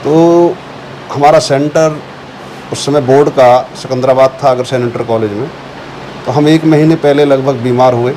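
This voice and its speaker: Over noticeable background noise, a man talks at a fairly high pitch. His intonation stays fairly even. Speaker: local town council chairman, former teacher. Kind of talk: interview.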